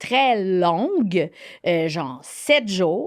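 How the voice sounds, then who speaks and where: Very wide pitch swings in a Quebec accent. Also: woman. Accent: Québécois French. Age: 40s. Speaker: TV host, author and actress. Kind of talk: interview. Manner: halting.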